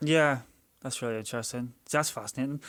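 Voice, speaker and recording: Very fast speech in a Northern Irish accent, fairly even in intonation, on a very clean recording with a silent background. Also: man. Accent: Northern Irish (Belfast). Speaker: podcast co-host. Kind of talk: casual chat.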